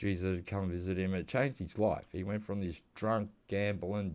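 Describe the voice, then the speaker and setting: A man speaks with an Australian accent at a fairly low pitch. His intonation is fairly even, on a very clean recording with a silent background. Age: 50s. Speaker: gaming youtuber. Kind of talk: casual gameplay commentary. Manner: casual, meandering.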